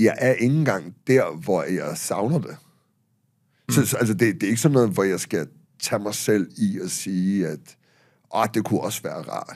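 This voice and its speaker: Lively intonation marks a man's fairly low voice as he speaks at a fairly slow pace with long, frequent pauses over a quiet background. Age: 50s. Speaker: author and public speaker; public speaker. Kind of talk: casual chat. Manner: halting. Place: studio. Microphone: studio mic.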